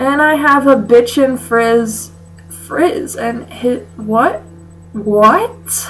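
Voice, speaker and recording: A woman at a very slow pace, with faint music in the background. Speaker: comedy vlogger. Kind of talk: comedic reading of fanfic with commentary. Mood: sarcastic, mock-disgusted. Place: home room. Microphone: webcam.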